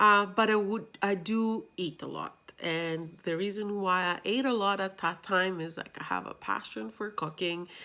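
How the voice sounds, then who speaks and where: A woman with a medium pitch and a bright, sharp tone speaks at a moderate pace with ordinary pitch variation and hardly any pauses. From Greece. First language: Greek. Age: 30s. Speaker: vlogger. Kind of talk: personal vlog.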